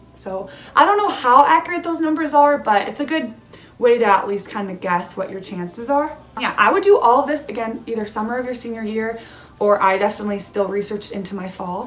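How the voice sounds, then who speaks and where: A woman with an American accent talks at a fairly quick pace in a fairly high pitch, her intonation lively and her loudness swinging widely. Noticeable background noise runs behind her. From California. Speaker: student vlogger. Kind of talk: casual advice vlog. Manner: casual, many fillers.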